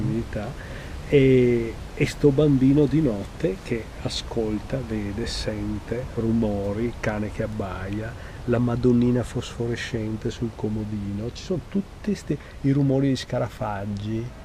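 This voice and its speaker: Amid noticeable background noise, a man talks fairly slowly at a medium pitch with ordinary pitch variation. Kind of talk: interview answer.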